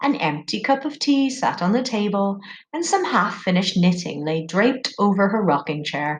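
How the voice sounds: Natural-sounding reading voice.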